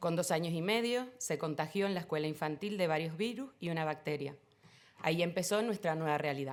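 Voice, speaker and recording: A woman speaks fairly quickly in a Canarian accent, her pitch fairly low with ordinary variation. The recording is very clean, with a silent background. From Canary Islands (Tenerife). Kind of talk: panel talk.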